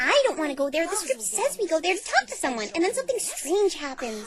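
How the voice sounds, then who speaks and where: A female-sounding cartoonish character voice speaks very fast at an extremely high pitch, bubbly in tone. Its pitch swings very widely over clear background noise. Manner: bubbly, fast, carefree.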